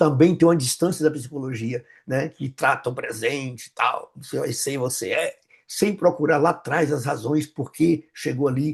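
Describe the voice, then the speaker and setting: A man speaks in a fairly high voice at a moderate pace. The background is quiet. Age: 60s. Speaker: pastor and psychoanalyst. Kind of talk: interview conversation. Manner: halting, with many repetitions.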